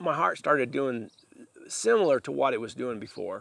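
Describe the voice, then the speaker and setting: A man talking at a moderate pace. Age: 60s. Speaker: outdoorsman vlogger. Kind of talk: casual personal talk to camera. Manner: halting, with fillers.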